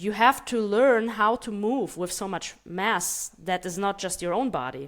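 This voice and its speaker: With a Russian accent, this speaker talks at a fairly slow pace with lively intonation, in a very clean recording with a silent background. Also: woman. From Germany, child of Moldovan immigrants. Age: 30s. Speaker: martial arts coach. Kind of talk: interview.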